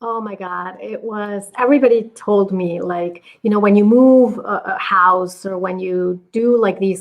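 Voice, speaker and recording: A woman with a Spanish accent speaks at a fairly slow pace, keeping her intonation fairly even. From Mexico. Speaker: business coach. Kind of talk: podcast interview.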